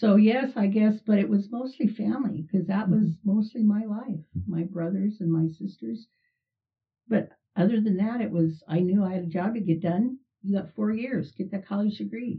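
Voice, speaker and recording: A woman speaks at a moderate pace. Her voice is somewhat breathy, with ordinary pitch variation. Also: medium pitch for a woman. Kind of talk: casual interview.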